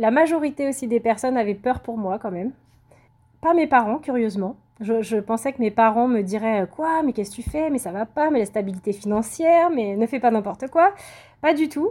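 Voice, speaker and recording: With a dark, mellow tone and fairly high pitch, a woman talks at a moderate pace with lively intonation on a very clean recording with a silent background. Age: 30s. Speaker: self-published novelist. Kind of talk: interview.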